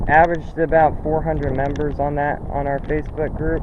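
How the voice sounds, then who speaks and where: Speaking at a moderate pace, a man is heard with audible room echo and noticeable background noise. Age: 20s. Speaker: ATV rider club founder. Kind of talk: casual vlog talk. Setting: outdoors on his property. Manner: halting, repetitive. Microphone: poor camera audio.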